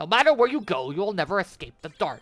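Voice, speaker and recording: Using a put-on character voice, a man rattles along at a very fast pace, his high pitch making very wide swings. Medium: read story. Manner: sneering, mocking.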